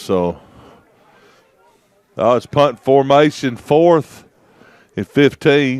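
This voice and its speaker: A man at a medium pitch, talking at a very slow pace. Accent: Southern US. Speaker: sports commentator. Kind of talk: live commentary. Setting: commentary booth. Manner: animated.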